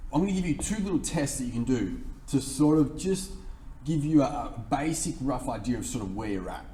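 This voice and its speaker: At a fairly quick pace, someone with an Australian accent speaks amid audible room echo. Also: man. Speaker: fitness coach. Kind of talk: tutorial.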